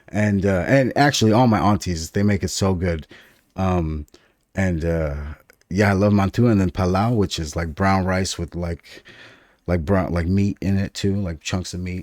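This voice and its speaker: On a very clean recording with a silent background, a man with a very deep, low voice talks at a moderate pace and ordinary pitch variation. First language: Farsi (Dari). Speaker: podcast co-host. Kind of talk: casual chat. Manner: animated.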